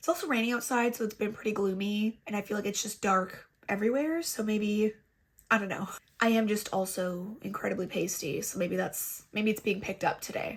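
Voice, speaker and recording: A woman talks at a fairly quick pace. Her fairly high voice is somewhat breathy. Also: ordinary pitch variation. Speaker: beauty youtuber. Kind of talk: makeup tutorial chat. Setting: home filming, raining outside. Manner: casual, chatty.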